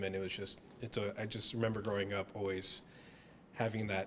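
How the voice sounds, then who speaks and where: In an American accent, a voice with fairly even intonation talks at a moderate pace against noticeable background noise. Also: man. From United States. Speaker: ballet company employee. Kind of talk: interview.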